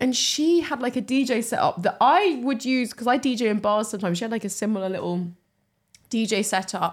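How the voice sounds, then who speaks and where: With an English accent, a woman talks at a fairly quick pace and fairly high pitch. Her intonation is lively. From England. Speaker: comedian and podcast co-host. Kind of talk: casual chat. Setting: comedy club recording.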